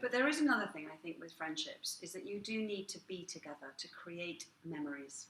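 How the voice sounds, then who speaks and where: Against noticeable background noise, a woman at a medium pitch talks at a fairly quick pace with hardly any pauses, her pitch swinging very widely and her loudness shifting in big swings. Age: middle-aged. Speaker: restaurateur. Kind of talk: casual chat.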